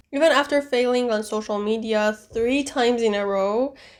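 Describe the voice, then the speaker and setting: On a very clean recording with a silent background, a woman speaks with an Iranian accent and ordinary pitch variation. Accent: Iranian (Persian) accent in English. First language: Persian. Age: 20s. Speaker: booktuber and vlogger. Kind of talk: personal vlog narration; book review clips. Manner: halting.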